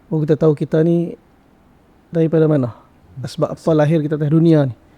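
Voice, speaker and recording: A man with a strong northern Malaysian accent talks at a very fast pace. His voice is fairly high, dark and mellow in tone, with fairly even intonation. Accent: strong northern Malaysian (Kedah). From Sarawak, Malaysia. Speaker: religious teacher. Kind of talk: podcast interview.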